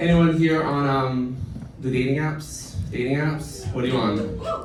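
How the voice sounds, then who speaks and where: This man's voice sits at a medium pitch. The room echoes audibly, and background noise is noticeable. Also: ordinary pitch variation, fairly slow pace. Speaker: late-night comedy show host. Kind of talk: stand-up monologue. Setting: stage with audience. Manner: loud.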